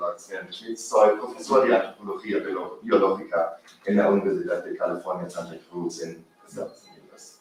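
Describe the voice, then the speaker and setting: A man is speaking. He has a non-native accent. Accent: foreign accent in Spanish. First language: not Spanish (speaking Spanish). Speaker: professor of biological anthropology. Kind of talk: academic presentation. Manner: halting.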